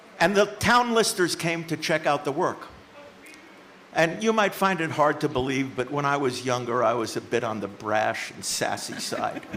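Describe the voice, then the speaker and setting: There is noticeable background noise as a man speaks at a fairly high pitch. His pitch swings very widely. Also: moderate pace. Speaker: town meeting moderator. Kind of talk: meeting chairing. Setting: town hall meeting.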